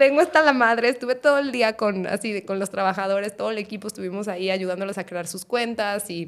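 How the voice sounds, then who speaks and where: A woman talks in an ordinary speaking voice at a fairly quick pace and medium pitch. Her intonation is lively, with big swings in loudness. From Guadalajara, Mexico. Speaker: startup CEO. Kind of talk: casual chat.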